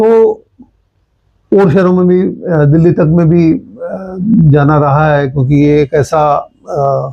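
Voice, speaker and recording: An unremarkable speaking voice from a man, fairly high in pitch, with ordinary pitch variation and very even loudness. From Haryana, India (Hansi, Fatehabad). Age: 60s. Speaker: journalist. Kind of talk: interview.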